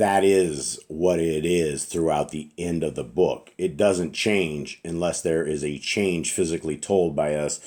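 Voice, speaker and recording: This man's very deep, low voice moves at a moderate pace with ordinary pitch variation. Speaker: religious teacher. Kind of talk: bible study talk. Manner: conversational.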